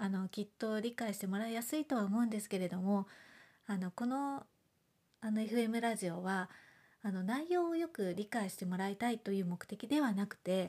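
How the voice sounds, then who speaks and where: A woman's somewhat breathy, mumbling voice at medium pitch, dark and mellow in tone with lively intonation, on a very clean recording with a silent background. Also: moderate pace. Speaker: homeopath podcaster. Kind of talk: casual monologue podcast. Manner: mumbling, little intonation.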